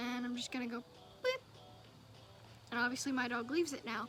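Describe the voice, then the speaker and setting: High-pitched woman at a fairly quick pace, ordinary pitch variation, with music in the background. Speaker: dog trainer. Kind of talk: casual talk to camera.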